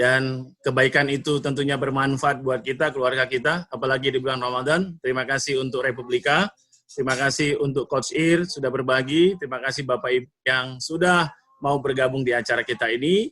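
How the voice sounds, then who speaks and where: Speaking at a fairly quick pace, the man has a bright, sharp tone. His pitch is medium and his intonation fairly even. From North Sumatra, Indonesia (Sibolga). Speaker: motivational speaker and trainer. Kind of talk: online training talk. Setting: Zoom video call.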